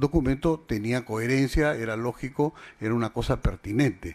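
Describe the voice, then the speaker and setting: A man at a moderate pace. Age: 60s. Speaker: defendant in court hearing. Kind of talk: court testimony. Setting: courtroom hearing. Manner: formal; halting.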